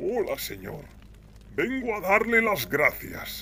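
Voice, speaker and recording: A man puts on a character voice at a fairly slow pace. Background noise is clearly heard. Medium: read story. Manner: polite, sly.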